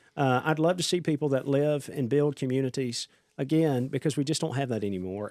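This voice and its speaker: A man speaks with a Southern US accent at medium pitch and a moderate pace, his pitch varying in an ordinary way. His tone is dark and mellow, and the recording is very clean with a silent background. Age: 30s. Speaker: congressional candidate. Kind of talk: podcast interview.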